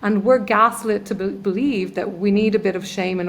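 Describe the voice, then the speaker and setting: A woman speaks with an Irish accent. Her intonation is fairly even. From Ireland. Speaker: trauma healer. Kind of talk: podcast interview. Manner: halting.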